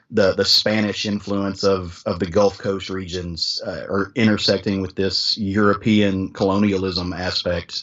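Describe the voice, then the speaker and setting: Speech in a strong Southern US accent comes at a fairly slow pace with hardly any pauses and monotone, flat intonation. Noticeable background noise runs underneath. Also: man. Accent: thick Southern US. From US South. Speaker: podcast host, guest on comics podcast. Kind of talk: casual chat.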